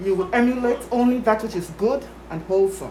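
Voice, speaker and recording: A woman speaks at a moderate pace and medium pitch, with ordinary pitch variation. Her tone is solemn, and background noise is noticeable. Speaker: grandmother. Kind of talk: blessing. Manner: formal.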